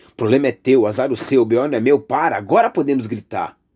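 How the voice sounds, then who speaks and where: A man speaks in an intense tone with a Brazilian accent. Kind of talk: spoken word poetry, political and accusatory. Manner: intense, indignant, declamatory with pointed emphasis.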